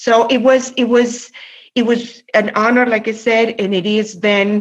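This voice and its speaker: Fairly slow speech from a woman with a Spanish accent. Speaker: labor union president. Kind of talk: interview conversation. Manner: halting, many fillers and repetitions.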